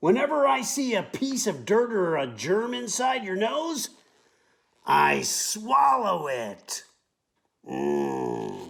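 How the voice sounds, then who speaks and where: A man's put-on character voice at a high pitch and a very slow pace. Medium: read story. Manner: playful, proud.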